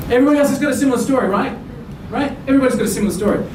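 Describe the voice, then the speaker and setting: With an Australian accent, a man speaks in an animated tone with ordinary pitch variation, amid noticeable background noise and audible room echo. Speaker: business speaker. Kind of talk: conference presentation. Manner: fast.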